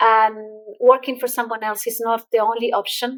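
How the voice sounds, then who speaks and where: Moderate pace from a woman with a slight Irish accent and a fairly high pitch. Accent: slight Irish-tinged English. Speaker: entrepreneur and LinkedIn expert. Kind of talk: podcast interview.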